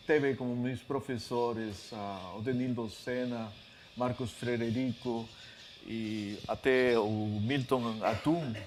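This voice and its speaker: A man's medium-pitched voice, very slow and fairly even in intonation, with audible room echo. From Peru, Lima. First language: Spanish (speaking Portuguese). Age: 50s. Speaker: author and literature scholar. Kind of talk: lecture. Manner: halting, many fillers.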